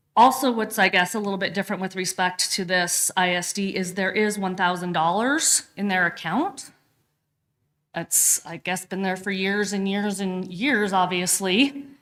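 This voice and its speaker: A woman talks at a moderate pace with a medium pitch. Hers is a normal speaking voice with ordinary pitch variation. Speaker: county staff presenting to commissioners. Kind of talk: government work session briefing.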